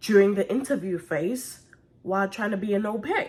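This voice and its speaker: A woman talks in a mid-range pitch, somewhat breathy, her pitch varying in an ordinary way. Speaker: au pair vlogger. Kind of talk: casual vlog tutorial.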